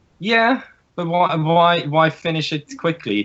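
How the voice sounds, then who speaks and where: In a Norwegian accent, a man with a fairly high pitch speaks with very wide pitch swings. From Norway. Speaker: podcast guest, card game player. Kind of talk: casual chat.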